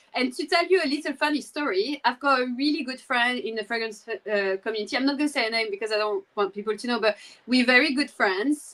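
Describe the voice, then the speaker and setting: A woman speaks in a French accent with a high pitch and a bright, sharp tone. Her pace is fairly quick and her intonation lively. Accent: French accent, noticeable. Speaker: fragrance content creator. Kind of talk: casual chat. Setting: live stream.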